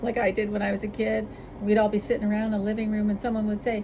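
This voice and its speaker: Over noticeable background noise, a woman talks at a fairly high pitch. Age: 60s. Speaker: cat channel vlogger. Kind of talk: casual chat. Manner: casual, rambling with interruptions.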